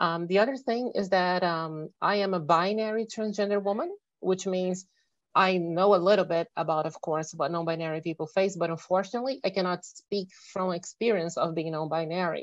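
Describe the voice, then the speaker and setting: A woman with a Portuguese accent, medium-pitched, with ordinary pitch variation, a fairly quick pace and a quiet background. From Brazil. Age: 30s. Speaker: electrical engineer. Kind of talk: presentation. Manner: fast.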